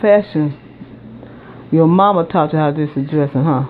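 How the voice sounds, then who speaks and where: At a moderate pace, speech comes through over noticeable background noise. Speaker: cooking video host. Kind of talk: casual narration while filming.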